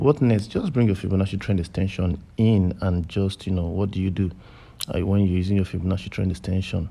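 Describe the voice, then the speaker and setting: This man has a very deep, low pitch and a dark, mellow tone. He speaks at a fairly quick pace with fairly even intonation. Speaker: forex trading educator. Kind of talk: tutorial. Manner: fast; informal, repetitive fillers.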